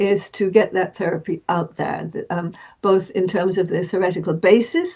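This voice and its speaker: A woman's medium-pitched voice, dark and mellow in tone, with monotone, flat intonation. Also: moderate pace. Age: 80s+. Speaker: therapist. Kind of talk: interview. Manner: halting, many repetitions and fillers.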